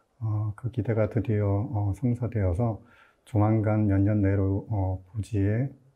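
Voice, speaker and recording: A man's fairly low voice, monotone and flat, at a fairly slow pace. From Gimcheon, Gyeongbuk, South Korea. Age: 50s. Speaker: novelist. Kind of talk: formal greeting in literary talk. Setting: studio. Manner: formal.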